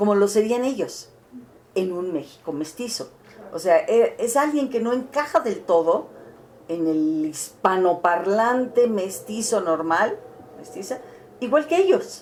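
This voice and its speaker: A woman speaks at a fairly high pitch and a fairly slow pace, with very wide pitch swings. Noticeable background noise sits behind her. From Mexico City, Mexico. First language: Catalan (speaking Spanish). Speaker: interviewee, cultural figure. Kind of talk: interview testimony. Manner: halting.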